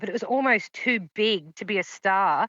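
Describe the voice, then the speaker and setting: With an Australian accent, a woman speaks at a fairly slow pace and ordinary pitch variation. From Queensland, Australia (Sunshine Coast). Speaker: paranormal witness. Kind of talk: interview testimony.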